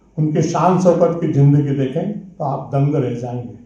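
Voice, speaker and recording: A man's fairly even intonation is heard through audible room echo and noticeable background noise. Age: 60s. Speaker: veteran print journalist. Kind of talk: speech at a conference.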